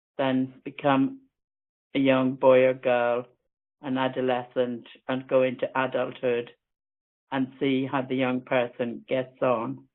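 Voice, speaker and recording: In an Irish accent, a woman with a very deep, low voice speaks at a fairly slow pace. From Ireland. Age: 60s. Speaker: webinar speaker with an eye condition. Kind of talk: personal talk.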